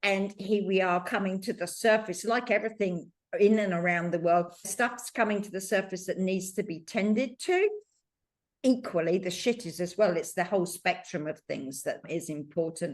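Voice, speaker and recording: Speaking at a moderate pace, a woman uses medium pitch and ordinary pitch variation in a plain, everyday voice. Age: 60s. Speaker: podcast host. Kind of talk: casual chat.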